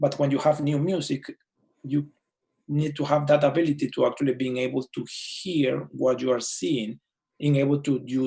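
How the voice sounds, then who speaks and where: A man's dark, mellow, fairly high voice with a strong non-native accent, fairly even intonation and a moderate pace. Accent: thick foreign. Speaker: orchestra conductor. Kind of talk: casual chat. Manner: halting.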